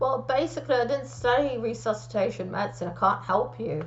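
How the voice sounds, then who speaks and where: Through noticeable background noise and audible room echo, a woman of medium pitch talks at a fairly quick pace with very wide pitch swings. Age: 50s. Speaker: aspiring medical student. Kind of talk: solo talk to camera.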